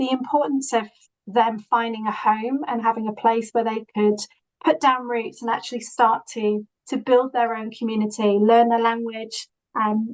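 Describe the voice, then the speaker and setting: Her intonation holds fairly even. The woman's pitch sits fairly high, and she speaks at a moderate speed. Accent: Yorkshire. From northern England, Yorkshire (Leeds). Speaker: social housing professional. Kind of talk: presentation. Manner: halting, many fillers.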